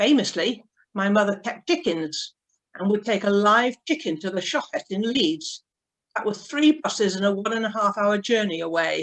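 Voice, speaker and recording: A woman with a slight Yorkshire accent speaks at medium pitch and a moderate pace, her intonation lively. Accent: slight northern Yorkshire lilt. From northern England, Yorkshire (Pontefract). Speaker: synagogue member. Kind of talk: personal life talk.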